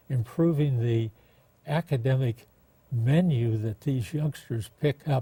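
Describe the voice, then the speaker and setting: Speaking fairly slowly with an American accent, a man has a dark, mellow, somewhat breathy voice at medium pitch with ordinary pitch variation. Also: dry, close sound with no echo. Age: 80s+. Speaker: former mayor. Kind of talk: interview.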